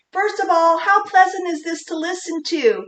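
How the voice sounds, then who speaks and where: This is a squeaky, put-on character voice. It moves at a moderate pace with fairly even intonation. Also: woman, extremely high pitch for a woman. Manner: unpleasant, strained.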